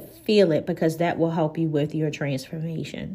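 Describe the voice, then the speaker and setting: Speaking at a moderate pace, a woman has a fairly low pitch and a plain, everyday voice. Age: 40s. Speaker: podcast host, life coach and nurse. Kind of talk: solo podcast talk.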